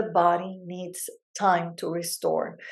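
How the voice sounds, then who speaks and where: A woman talks very slowly at a fairly low pitch. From Latin America. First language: Spanish. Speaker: brain health psychologist and podcast host. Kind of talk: educational podcast monologue. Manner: conversational with many fillers.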